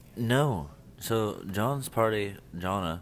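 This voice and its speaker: In audible room echo, a man speaks in a fairly low voice with ordinary pitch variation. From Indiana. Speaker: podcast co-host. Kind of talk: casual chat. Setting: bar or cafe with live band.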